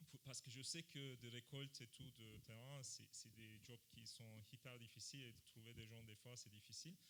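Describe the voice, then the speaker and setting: A man with a non-native accent talks at a moderate pace with hardly any pauses, using a medium pitch, a bright, sharp tone and fairly even intonation. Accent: foreign accent in French. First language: not French (speaking French). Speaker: panelist. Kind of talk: panel discussion. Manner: halting, many hesitations.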